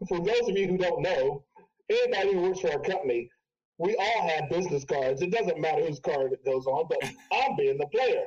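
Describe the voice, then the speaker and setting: With an American accent, a high-pitched man talks fairly quickly with lively intonation and very even loudness. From Ohio, US Midwest. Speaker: DJ and personal trainer. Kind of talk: casual chat.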